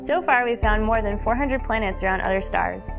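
Over clear background music, a woman talks at a very fast pace with a fairly high pitch. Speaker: scientist. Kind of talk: science documentary narration. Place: studio.

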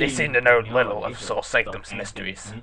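A man puts on a character voice at a medium pitch. He speaks at a fairly quick pace, and there is hissing.

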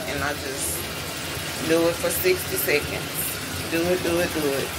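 A woman's fairly slow speech competes with loud background noise. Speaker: vlogger giving a skin condition update. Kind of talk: casual vlog chat. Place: home room. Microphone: phone near.

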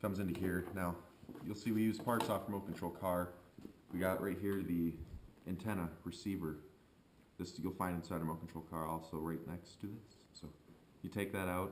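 Over light background noise, a man with a very deep, low pitch talks at a fairly quick pace in a monotone, flat intonation. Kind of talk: tutorial. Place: garage.

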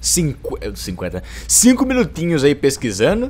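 Pitched fairly high, a man talks with very wide swings in pitch. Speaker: gaming youtuber. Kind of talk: gameplay commentary. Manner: animated.

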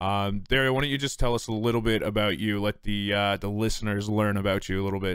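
Speaking at a very fast pace with hardly any pauses, this voice has a Canadian accent and fairly even intonation, recorded dry with no echo against a quiet background. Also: man, fairly low pitch for a man. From Newfoundland, Canada. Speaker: podcast host. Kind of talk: casual chat. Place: home room. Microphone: studio mic.

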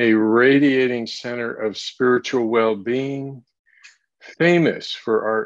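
A man with ordinary pitch variation in a quiet background. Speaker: service host. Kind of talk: welcoming address. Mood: warm, uplifting. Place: home room. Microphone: webcam.

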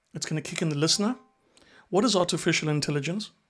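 Fast-paced, a man speaks at a fairly high pitch. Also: ordinary pitch variation.

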